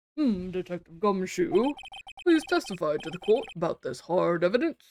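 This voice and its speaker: At a moderate pace, this put-on character voice holds a middle pitch. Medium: game stream. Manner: slow, formal.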